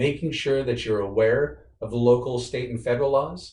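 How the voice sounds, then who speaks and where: The delivery is very fast and somewhat breathy, with fairly even intonation. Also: man. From rural Wyoming, US. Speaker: guest speaker at workplace diversity event. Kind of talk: presentation with Q&A.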